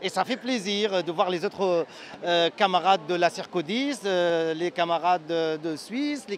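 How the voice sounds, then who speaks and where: A man speaks at a moderate pace with a slight Syrian accent. His pitch is high, with ordinary variation. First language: Arabic (speaking French). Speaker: activist and social psychology lecturer. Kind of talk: interview. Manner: halting, many hesitations.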